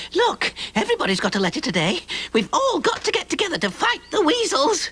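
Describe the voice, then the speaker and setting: An extremely high-pitched cartoonish character voice at a fairly quick pace. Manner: chatty, excitable.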